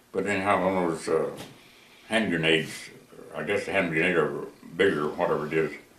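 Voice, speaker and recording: The speech comes at a fairly quick pace. Audible room echo and noticeable background noise fill the recording. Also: man. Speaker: war veteran. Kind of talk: oral history interview. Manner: halting.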